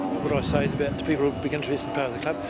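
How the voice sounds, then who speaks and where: A man speaks with a New Zealand accent. His voice is fairly high, and noticeable background noise runs underneath. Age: 60s. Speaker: amateur powerboat racer. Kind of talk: interview. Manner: halting.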